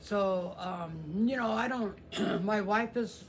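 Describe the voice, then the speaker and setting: In a room with audible echo, a man speaks at a high pitch with a Midwestern American accent. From US Midwest (Kansas). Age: 60s. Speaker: guitar channel host. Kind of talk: casual live stream chat. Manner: halting, many fillers.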